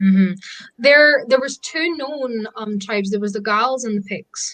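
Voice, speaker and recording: Her Scottish accent comes through as a woman speaks at a fairly high pitch and a fairly slow pace with lively intonation. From Scotland. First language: Scottish Gaelic. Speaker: pagan practitioner. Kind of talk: casual chat.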